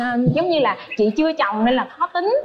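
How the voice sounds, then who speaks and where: Light background noise behind a woman's moderately paced speech. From southern Vietnam, Ba Ria-Vung Tau; southern Vietnam. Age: 30s. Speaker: dating show contestant, office worker. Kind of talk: dating show interview. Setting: TV studio with audience. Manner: hesitant, many fillers. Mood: shy, smiling. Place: studio. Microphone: lapel.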